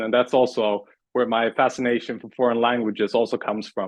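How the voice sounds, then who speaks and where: With a Swedish accent, a man talks at a fairly quick pace. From Sweden. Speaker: communications coach. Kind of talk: interview.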